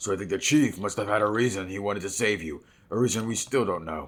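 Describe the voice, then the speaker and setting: In a put-on character voice, a man talks very fast with a raspy, fairly low pitch and ordinary pitch variation, on a very clean recording with a silent background. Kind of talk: reading game dialogue aloud. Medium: game stream.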